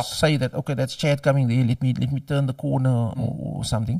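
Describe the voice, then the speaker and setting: With a Cape Flats accent, a man talks at a very fast pace in a dark, mellow tone, his fairly high pitch somewhat breathy. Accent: Cape Flats South African English. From Cape Town, South Africa. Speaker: doctor and university lecturer. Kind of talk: interview answer.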